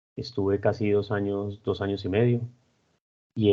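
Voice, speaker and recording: Fairly low in pitch, a man speaks with fairly even intonation at a moderate pace. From Colombia, Armenia (coffee region). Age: 40s. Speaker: civil engineer, project director. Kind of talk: interview, personal and career account. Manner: hesitant, with fillers.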